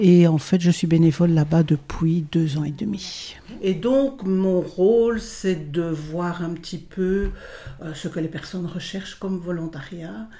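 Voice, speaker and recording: Speaking at a very slow pace, a woman with a fairly low pitch shows ordinary pitch variation and big swings in loudness. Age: 70s. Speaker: volunteer advisor. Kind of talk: interview.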